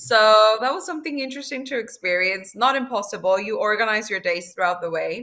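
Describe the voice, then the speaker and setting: In a Spanish accent, a woman speaks at a fairly high pitch with a bright, sharp tone and lively intonation. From Mexico. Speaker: former exchange student. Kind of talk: interview answer.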